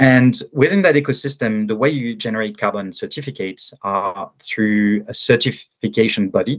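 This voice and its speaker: Using ordinary pitch variation, a man at medium pitch talks at a moderate pace with a French accent. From France. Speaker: agritech startup founder. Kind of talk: interview. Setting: podcast. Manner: halting, many fillers.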